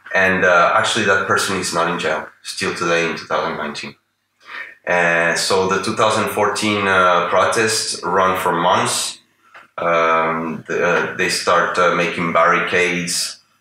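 Through audible room echo and light background noise, a man speaks very slowly in a very deep, low pitch with monotone, flat intonation. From Venezuela. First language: Spanish. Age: 40s. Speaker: artist and political analyst; political analyst. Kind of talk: interview. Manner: halting. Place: home room.

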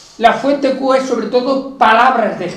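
A man is speaking. Room echo can be heard. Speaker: teacher giving a talk. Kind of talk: lecture. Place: classroom.

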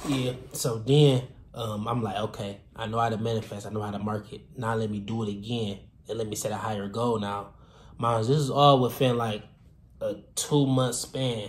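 Somewhat breathy, a man talks at a moderate pace with medium pitch and fairly even intonation. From Detroit, Michigan. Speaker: fashion designer and entrepreneur. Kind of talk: casual vlog storytelling. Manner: casual, many filler words.

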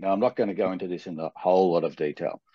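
A man's very deep, low voice, dry with no echo, over a quiet background. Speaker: webinar host, presenter. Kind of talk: webinar introduction and presentation. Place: home room.

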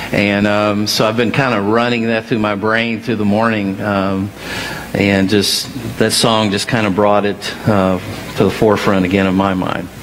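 Light background noise accompanies a man with a fairly low pitch speaking at a moderate pace. His intonation is monotone and flat, and his loudness very even. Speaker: senior minister. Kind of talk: sermon. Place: church. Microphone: headset.

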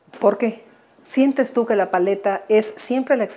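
A woman's dark, mellow tone carries ordinary pitch variation at a fairly slow pace. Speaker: art historian and TV presenter; TV presenter. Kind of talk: TV interview; interview question. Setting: artist's workshop. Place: workshop.

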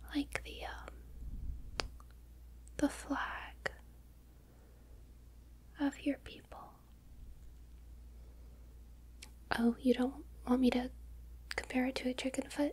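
A soft-spoken woman talks at a very slow pace with long, frequent pauses. Her loudness shows big swings. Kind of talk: ASMR roleplay, soft-spoken. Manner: soft, hushed close ASMR voice. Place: home room.

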